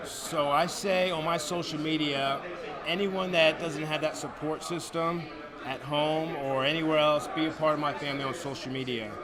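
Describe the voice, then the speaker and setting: A man with an American accent, fairly high pitch and fairly even intonation at a moderate pace, amid noticeable background noise and audible room echo. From US Northeast, New Jersey. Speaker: professional wrestler. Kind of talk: interview.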